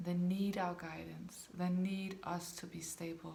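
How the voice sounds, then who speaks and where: Recorded with audible room echo, a woman speaks in a fairly low pitch. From Denmark. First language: Danish. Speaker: dog behaviour consultant. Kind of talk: talking-head video to camera.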